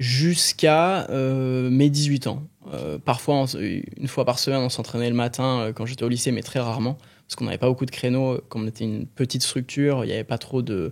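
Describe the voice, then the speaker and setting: A male voice at medium pitch with ordinary pitch variation. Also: fairly quick pace. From southern France, Aix-en-Provence. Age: 20s. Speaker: professional swimmer. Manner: hesitant, many fillers.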